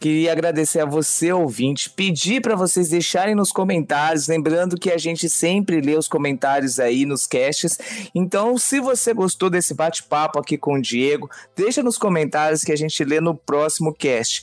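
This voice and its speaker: A man with an ordinary speaking voice talks at a moderate pace and fairly high pitch, with ordinary pitch variation and very even loudness. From Brazil, São Paulo state interior. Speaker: podcast co-host. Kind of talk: casual chat.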